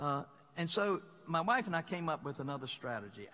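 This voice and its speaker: Bright and sharp in tone, a man with a Southern US accent speaks at a moderate pace with ordinary pitch variation. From Mississippi, US South. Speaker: pastor. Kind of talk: sermon.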